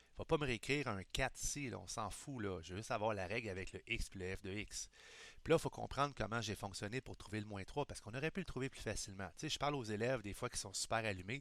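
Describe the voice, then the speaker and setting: A man's medium-pitched voice rushes along at a very fast rate, its pitch moving in an ordinary way. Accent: Quebec. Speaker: high school math teacher. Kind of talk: recorded lesson. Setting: recording at computer screen. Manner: casual, improvised.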